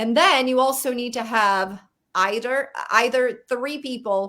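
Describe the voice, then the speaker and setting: A woman's high-pitched voice at a fairly slow pace in a very clean recording with a silent background. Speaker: network marketing distributor. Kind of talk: casual interview.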